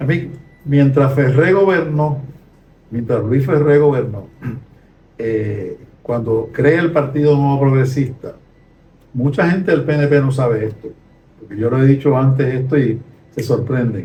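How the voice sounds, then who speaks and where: Fairly slow, somewhat breathy man's voice, fairly high in pitch and dark and mellow in tone, with long, frequent pauses and audible room echo. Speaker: retired sociology professor. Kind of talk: conversational podcast discussion.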